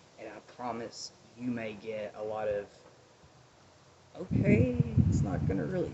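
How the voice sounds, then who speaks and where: A mumbling man with an American accent at a moderate pace, amid noticeable background noise. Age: 30s. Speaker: vlogger. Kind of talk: personal vlog, advice and life story. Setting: outdoors. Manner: loud.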